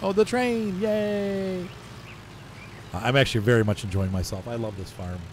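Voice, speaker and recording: Somewhat breathy, a man's voice comes through. His pitch swings very widely. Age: 40s. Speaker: gaming YouTuber. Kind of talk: gameplay commentary. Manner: casual, rambling narration.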